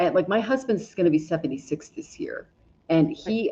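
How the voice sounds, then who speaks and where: This woman's voice is somewhat breathy, with a dark, mellow tone. She talks at a moderate pace. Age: 40s. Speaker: astrologer and tarot reader. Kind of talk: casual conversation.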